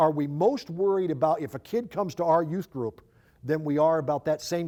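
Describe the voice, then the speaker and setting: The speaker is a man with a fairly high pitch. His tone is dark and mellow. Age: 60s. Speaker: youth ministry speaker. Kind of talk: conference talk. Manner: halting, with repeated words.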